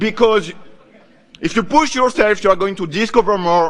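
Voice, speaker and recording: A man with high pitch and ordinary pitch variation, at a moderate pace. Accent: French. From France. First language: French. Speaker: conference speaker, software developer. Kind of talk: lightning talk.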